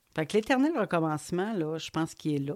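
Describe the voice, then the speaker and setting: A woman with a Quebec accent speaks fairly slowly in a very deep, low voice, in a very clean recording with a silent background. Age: 50s. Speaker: podcaster. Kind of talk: personal monologue. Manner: conversational, hesitant.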